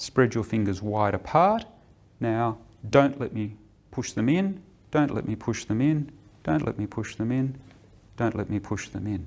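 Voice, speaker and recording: With lively intonation and a medium pitch, a man speaks at a moderate pace, leaving long, frequent pauses. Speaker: clinician giving a musculoskeletal screening exam. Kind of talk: clinical instruction to a patient. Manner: soft-spoken, gentle, calm.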